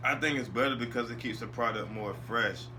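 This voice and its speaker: Noticeable background noise and audible room echo around a man talking. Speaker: wrestling podcaster. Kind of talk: casual solo commentary. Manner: fast.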